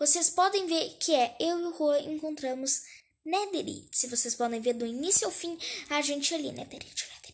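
A woman's high voice at a moderate pace, ordinary pitch variation, and big swings in loudness over a quiet background. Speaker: gaming channel host. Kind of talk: casual gameplay commentary. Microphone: phone near.

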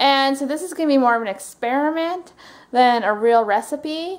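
At a fairly quick pace, a woman speaks with a high pitch. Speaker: home vlogger. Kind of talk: casual vlog chat. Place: kitchen. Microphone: phone near.

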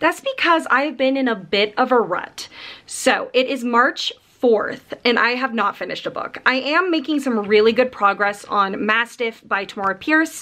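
A woman's high-pitched voice at a moderate pace, with lively intonation. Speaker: book vlogger. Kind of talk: casual vlog chat. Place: home room. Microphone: phone near.

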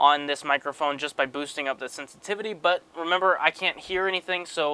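Talking at a fairly quick pace with ordinary pitch variation, a man is heard in a dry sound with no echo. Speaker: video gear reviewer. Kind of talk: tutorial. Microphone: lapel.

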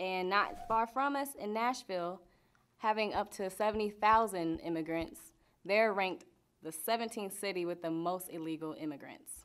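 A woman speaks with lively intonation, keeping a moderate pace. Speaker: news anchor and reporter. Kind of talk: broadcast news anchor and reporter delivery.

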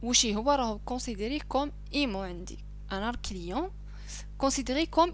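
A woman speaks with an Algerian accent. Her pace is moderate. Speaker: accounting teacher. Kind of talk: screen-recorded lesson.

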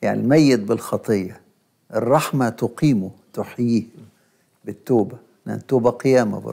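A man in an Egyptian accent speaks with a dark, mellow tone, vocal fry and ordinary pitch variation. His loudness swings a lot, long pauses come often, and the background is quiet. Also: moderate pace. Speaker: bishop and liturgy professor; bishop, liturgy professor. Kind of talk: religious teaching talk show. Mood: calm, explanatory. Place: studio.

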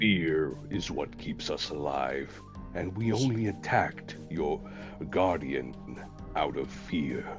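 Over clear music in the background, a man in a put-on character voice speaks at a very slow pace with a very deep, low pitch. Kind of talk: grave, formal in-character speech. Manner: measured, philosophical.

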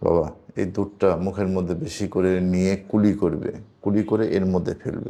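A man speaks in a very deep, low voice with a dark, mellow tone. His intonation is monotone and flat. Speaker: spiritual healer. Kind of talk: live healing session.

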